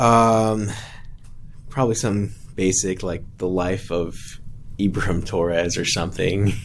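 A man with an American accent speaks at a fairly slow pace in a very deep, low pitch, with long, frequent pauses and audible room echo. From Texas (Gulf Coast, near Houston). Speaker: missionary. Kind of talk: casual interview. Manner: halting, many fillers.

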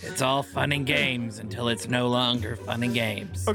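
With clear music in the background, a man in a put-on character voice speaks at a moderate pace with medium pitch. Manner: wry, deadpan.

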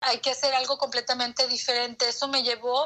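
A woman's high voice with a bright, sharp tone. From Mexico. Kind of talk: interview.

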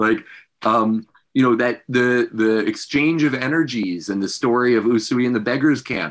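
A plain, everyday voice belongs to a man speaking at medium pitch. His pace is moderate, with ordinary pitch variation. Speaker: academic and Reiki practitioner. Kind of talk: interview conversation. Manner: friendly, laughs often.

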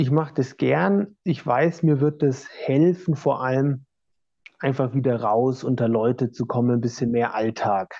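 A man with a normal speaking voice at medium pitch, ordinary pitch variation, a fairly slow pace and very even loudness. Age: 30s. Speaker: orchestral trombonist. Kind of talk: interview.

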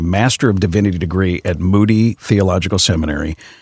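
A man with an American accent has a plain, everyday voice, fairly low in pitch. He talks at a moderate pace on a very clean recording with a silent background. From Chicago area, US Midwest. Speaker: radio news anchor and pastor. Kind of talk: casual interview. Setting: studio.

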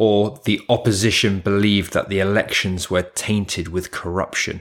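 A man speaks with a British accent at a fairly low pitch. The recording is very clean, with a silent background. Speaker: English tutor, podcaster and voiceover artist. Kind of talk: monologue podcast, educational. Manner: chatty, informal, teaching style.

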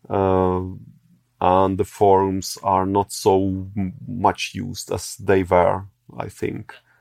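With a Czech accent and a very deep, low pitch, a man speaks at a very slow pace in monotone, flat intonation. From Czech Republic. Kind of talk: interview. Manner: halting.

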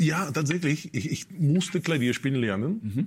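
A man in a Russian accent, somewhat breathy, with very wide pitch swings at a moderate pace. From Russia, Moscow. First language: Russian (speaking German). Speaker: musician. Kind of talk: casual interview. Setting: studio.

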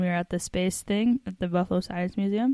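A woman with a plain, everyday voice at a fairly quick pace, in a dry, close sound with no echo and a very clean recording against a silent background. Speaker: podcast co-host. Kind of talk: casual banter between co-hosts, podcast. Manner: playful, jokey.

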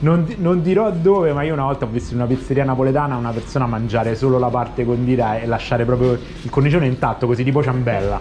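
Very fast speech with hardly any pauses comes through audible room echo and noticeable background noise. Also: man, medium pitch for a man, ordinary pitch variation. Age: 40s. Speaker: podcast host. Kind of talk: casual interview. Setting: pizzeria kitchen. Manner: animated.

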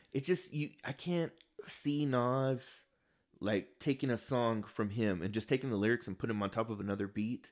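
In a very clean recording with a silent background, a man speaks in a normal speaking voice at a medium pitch, with ordinary pitch variation and a moderate pace. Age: 30s. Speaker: podcast co-host. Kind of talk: casual chat.

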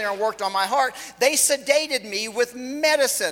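A man speaks in a raised, projected voice at an extremely high pitch for a man. He keeps a moderate pace over noticeable background noise. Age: 40s. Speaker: guest preacher. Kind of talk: sermon. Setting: church.

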